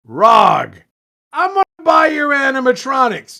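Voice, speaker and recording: A man uses a put-on character voice, raised and projected, at an extremely high pitch. He speaks at a fairly slow pace. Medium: read story. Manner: curt, commanding.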